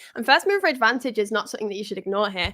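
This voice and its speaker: With a strong northern English accent, a woman speaks in a bright, sharp tone on a very clean recording with a silent background. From northern England. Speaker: crypto live stream co-host. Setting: live stream.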